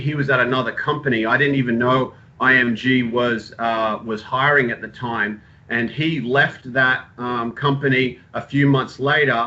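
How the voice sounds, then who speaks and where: The man has a slight Australian accent and a medium pitch. He speaks in a monotone, flat way at a moderate pace. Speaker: sports physical therapist. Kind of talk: informal talk to students. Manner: halting, many fillers.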